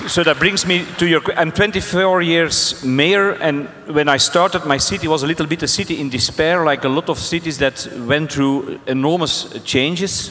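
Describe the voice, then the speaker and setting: A man with a Flemish accent speaks at a fairly high pitch with fairly even intonation, and noticeable background noise is present. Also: moderate pace. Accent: Belgian Dutch (Flemish) accent in English. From Belgium. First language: Dutch. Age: 60s. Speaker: mayor. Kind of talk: panel discussion. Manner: halting.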